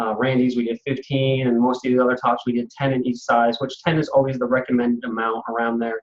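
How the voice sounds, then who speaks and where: Talking at a very fast pace, a man uses a medium pitch. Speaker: direct sales trainer. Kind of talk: training webinar. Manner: hesitant fillers.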